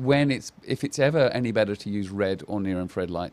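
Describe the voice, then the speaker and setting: With an unremarkable speaking voice, this man keeps a fairly quick pace, a fairly low pitch and lively intonation. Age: 50s. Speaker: company CEO and laser therapy entrepreneur. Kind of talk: podcast interview.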